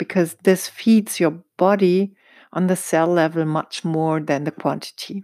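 A woman with a German accent speaks at a fairly slow pace with fairly low pitch, a dark, mellow tone and fairly even intonation, the sound dry and close with no echo. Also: very clean recording, silent background. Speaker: holistic dentist, podcast host. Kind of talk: solo educational podcast talk. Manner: halting, searching for words.

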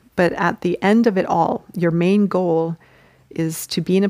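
A woman with an unremarkable speaking voice talks in a fairly low pitch and fairly even intonation, the sound dry and close with no echo on a very clean recording with a silent background. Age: 40s. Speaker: spiritual podcast host. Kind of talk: spiritual teaching monologue. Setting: outdoors.

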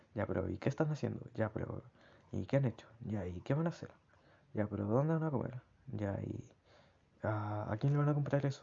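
Somewhat breathy and in a Chilean accent, the speaker moves at a fairly quick pace with ordinary pitch variation and long, frequent pauses. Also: man, medium pitch for a man. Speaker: personal diarist. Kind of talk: personal audio diary.

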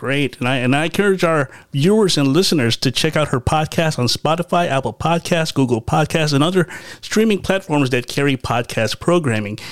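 An ordinary speaking voice at a fairly quick pace with hardly any pauses. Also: man, fairly high pitch for a man. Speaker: podcast host. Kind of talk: podcast interview. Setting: video call.

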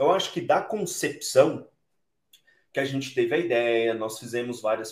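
A man talks at a moderate pace in an ordinary speaking voice, his medium pitch showing ordinary pitch variation. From Brazil, southern Minas Gerais. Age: 30s. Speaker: entrepreneur, company cofounder. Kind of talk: interview. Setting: remote recording from home.

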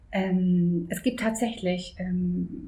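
A somewhat breathy woman's voice in audible room echo. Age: 50s. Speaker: office assistant. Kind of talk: interview.

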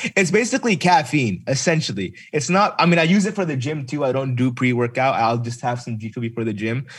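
A man talks at a very fast pace with hardly any pauses. His voice is medium in pitch and somewhat breathy. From US Midwest. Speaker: gamer and streamer. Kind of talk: casual interview chat.

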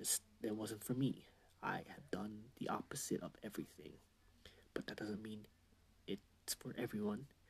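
A man whispers at an average speed, breaking it often with long pauses. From Canada. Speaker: podcaster. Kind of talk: casual monologue. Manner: rambling casual.

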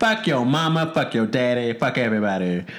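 A man speaks over noticeable background noise. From Chattanooga, Tennessee. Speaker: podcast co-host. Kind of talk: casual chat.

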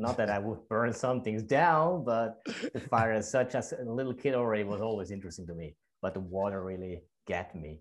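A man with a normal speaking voice talks at a fairly low pitch and fairly quick pace. His intonation is lively against a quiet background. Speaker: podcast/radio host. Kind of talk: casual interview chat.

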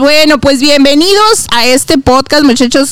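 A woman speaks with a high pitch and an animated tone at a moderate pace. Noticeable background noise runs underneath. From Guadalajara, Mexico. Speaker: podcast host. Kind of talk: casual chat.

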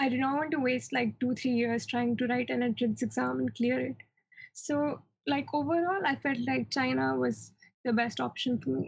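Her loudness very even, a woman speaks at a moderate pace. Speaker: medical student. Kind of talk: casual interview.

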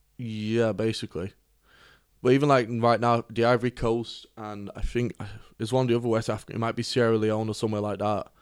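In a Cork accent, a man speaks at a very fast pace with medium pitch and flat, monotone intonation on a very clean recording with a silent background. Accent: Cork Irish. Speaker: podcast co-host. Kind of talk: casual chat.

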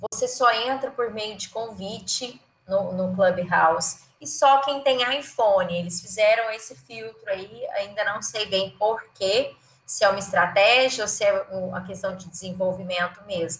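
Her pitch is medium and somewhat breathy, with ordinary variation. This woman speaks at a fairly slow pace, and her loudness swings widely. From Goiás, central Brazil (Goiânia). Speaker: marketing executive and professor. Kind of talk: casual interview. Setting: remote call.

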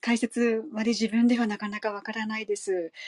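A woman speaks in a fairly high, somewhat breathy voice with monotone, flat intonation. The sound is dry and close, with no echo. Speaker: study group participant. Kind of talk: question in study group. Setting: online group voice room. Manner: hesitant.

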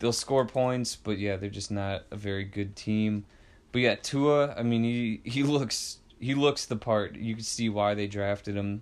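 At a fairly slow pace, a man with a fairly low pitch uses a plain, everyday voice and fairly even intonation on a very clean recording with a silent background. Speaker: sports podcast co-host. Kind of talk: casual sports chat.

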